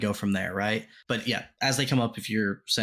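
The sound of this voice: The unforced reading voice moves with ordinary pitch variation.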